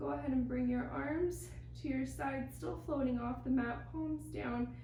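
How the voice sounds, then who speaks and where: With audible room echo and noticeable background noise, a woman speaks at a fairly slow pace. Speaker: pilates instructor. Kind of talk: guided workout instruction.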